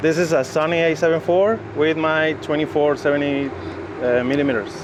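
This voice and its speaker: With a Mexican accent, a man speaks at a fairly high pitch, his loudness very even and his intonation fairly even, against noticeable background noise. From Mexico City. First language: Spanish. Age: 30s. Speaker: photographer. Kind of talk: interview. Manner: halting, many fillers.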